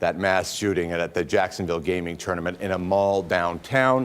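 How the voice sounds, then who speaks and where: Talking at a fairly quick pace, a man has an ordinary speaking voice, a fairly low pitch and ordinary pitch variation. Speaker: television news anchor. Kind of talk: live TV news anchoring. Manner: serious, urgent.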